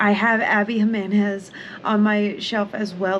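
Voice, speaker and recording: A woman's medium-pitched, flat, monotone delivery over noticeable background noise. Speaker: book vlogger. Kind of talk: casual vlog. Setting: at home. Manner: casual and rambling.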